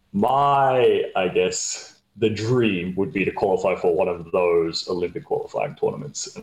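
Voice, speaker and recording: This is a man with an Australian accent. His pace is moderate. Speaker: handball player. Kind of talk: interview.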